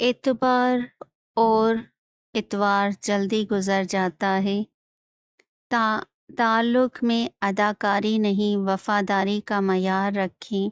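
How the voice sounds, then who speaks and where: In a dry, close sound with no echo, a woman talks at a medium pitch with monotone, flat intonation. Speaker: voice-over artist. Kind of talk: motivational quotes narration.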